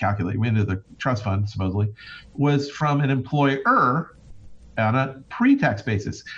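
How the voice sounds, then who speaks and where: The man's voice is somewhat breathy. He keeps to a moderate pace. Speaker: financial advisor. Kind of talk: casual chat.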